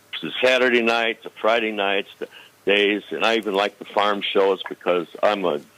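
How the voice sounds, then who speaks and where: A man with an American accent speaks at a fairly low pitch. His pitch varies in an ordinary way over noticeable background noise. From northern Illinois. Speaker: caller. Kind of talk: phone-in call.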